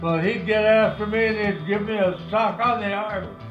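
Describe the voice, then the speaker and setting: Music plays behind a man who speaks at a high pitch and a fairly slow pace in an American accent. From Santa Rosa, California. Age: 80s+. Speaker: war veteran. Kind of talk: interview answer.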